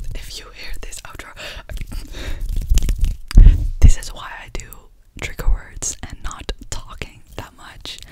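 Over loud background noise, a soft-spoken woman whispers at a very slow pace with long, frequent pauses. Her tone is amused. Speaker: ASMR creator. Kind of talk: soft-spoken ASMR outro chat. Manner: soft ASMR whisper, slightly amused. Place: home room. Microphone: studio mic.

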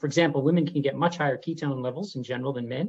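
This man speaks with a Canadian accent. The background is quiet. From Canada. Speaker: neurologist; interviewee. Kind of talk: interview monologue. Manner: hesitant, many fillers. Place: home room. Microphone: webcam.

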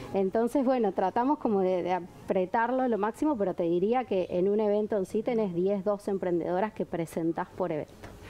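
Hardly any pauses break up this woman's speech. She keeps a moderate pace with ordinary pitch variation. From Uruguay. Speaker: event organizer and entrepreneur; guest. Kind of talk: TV talk show interview. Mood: warm, enthusiastic. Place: studio. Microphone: lapel.

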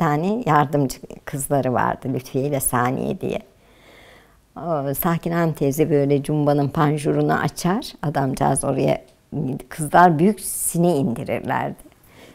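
A woman speaks with vocal fry at a very deep, low pitch with ordinary variation. Her pace is fairly slow against a quiet background. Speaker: housewife, oral history interviewee. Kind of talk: oral history interview answer, recalling the past. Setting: interview, indoors. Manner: reminiscing, storytelling, nostalgic. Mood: warm, nostalgic, smiling. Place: home room.

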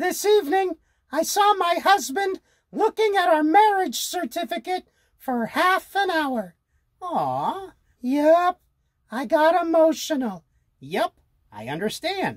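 An extremely high, cartoonish character voice at a fairly slow pace, with long, frequent pauses. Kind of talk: comedy sketch. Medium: puppet.

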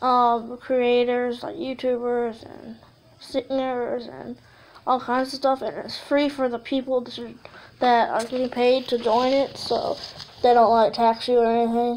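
A woman speaks fairly slowly in a high pitch, her intonation monotone and flat. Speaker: YouTuber. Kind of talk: casual vlog talk. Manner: halting, many fillers.

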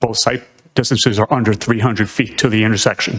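Speaking with an American accent, a man has a plain, everyday voice at a medium pitch. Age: 60s. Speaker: retired police officer, public commenter. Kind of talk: public comment at a town meeting. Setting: town planning board meeting.

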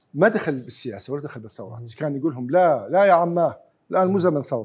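Lively intonation marks a man talking at a fairly high pitch and a fairly quick pace. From Iraq. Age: 60s. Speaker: historian. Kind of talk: heated debate. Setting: studio. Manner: animated. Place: studio. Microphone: lapel.

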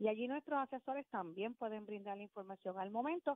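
Here a woman talks at a very fast pace in a fairly high pitch. Her intonation is lively. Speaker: utility company customer service manager. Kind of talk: radio interview.

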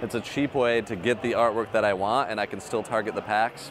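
A man's voice with ordinary pitch variation, dry with no echo, over music in the background. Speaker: collector vlogger. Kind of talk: casual vlog chat. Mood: excited, upbeat. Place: hall. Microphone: lapel.

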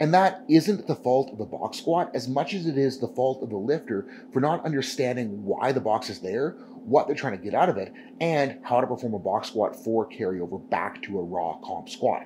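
A man speaks at a moderate pace with very wide pitch swings. His tone is dark and mellow, with light background noise. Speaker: powerlifting coach. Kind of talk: tutorial. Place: gym.

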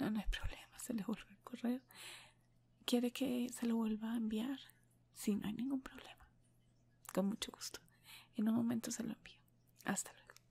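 A soft-spoken woman talks at a moderate pace in a flat monotone. She leaves long, frequent pauses. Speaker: ASMR creator playing a receptionist. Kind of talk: role-play phone talk, soft-spoken. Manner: soft, low ASMR voice on a pretend call. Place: home room. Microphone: earbuds.

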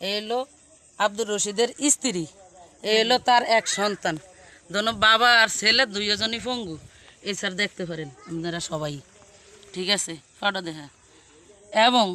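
A man's raised, projected voice, high in pitch, with ordinary pitch variation. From Bangladesh, Bhola district (Borhanuddin). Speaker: local resident speaking for a neighbour family. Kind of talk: testimony.

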